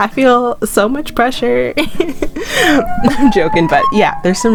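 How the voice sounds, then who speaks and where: This woman talks at a fairly slow pace, her pitch swinging very widely, with music in the background. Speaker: gaming channel host. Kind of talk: casual game commentary.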